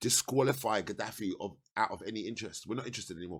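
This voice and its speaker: Very fast and animated, a man with an English accent talks with lively intonation on a very clean recording with a silent background. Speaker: political commentator. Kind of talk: political monologue. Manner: not exaggerated delivery.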